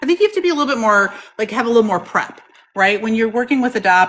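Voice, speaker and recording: A woman talks very fast with noticeable background noise behind her. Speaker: product demonstrator for a lapidary equipment company. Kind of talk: product demonstration in a live chat. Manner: loud.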